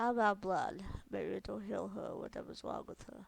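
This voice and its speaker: Someone puts on a character voice and speaks at a moderate pace. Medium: read story.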